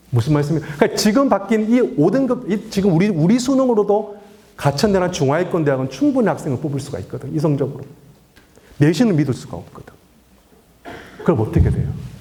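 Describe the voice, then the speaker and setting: Over noticeable background noise, a man talks very fast at a high pitch, with very wide pitch swings and long, frequent pauses. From Daegu, South Korea. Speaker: education lecturer. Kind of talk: public lecture to parents. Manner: animated, rhetorical questions.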